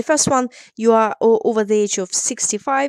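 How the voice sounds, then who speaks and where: A woman's fairly high voice with ordinary pitch variation and a non-native accent, in a very clean recording with a silent background and a dry, close sound with no echo. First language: not English. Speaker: immigration solicitor. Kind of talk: explainer tutorial.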